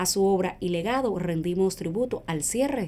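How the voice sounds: The tone is dark and mellow, with ordinary pitch variation. The pace is moderate. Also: woman.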